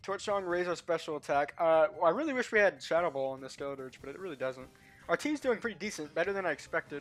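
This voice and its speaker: The speech comes at a very fast pace with music in the background. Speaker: gaming streamer. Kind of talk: live gameplay commentary. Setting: home stream at computer. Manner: casual, thinking aloud.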